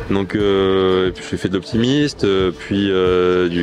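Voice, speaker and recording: Music plays in the background as a man talks. His pitch is very deep and low, and his pace very slow. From southern France, Marseille. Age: 30s. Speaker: amateur sailor, online sailing game player. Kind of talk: interview testimony. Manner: hesitant, many fillers.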